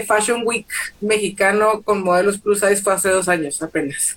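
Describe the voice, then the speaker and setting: Here a woman speaks at a moderate pace. Her pitch sits in the medium range. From Mexico, Torreón, Coahuila. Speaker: plus-size model and activist. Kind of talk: casual interview chat. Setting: Instagram live video stream.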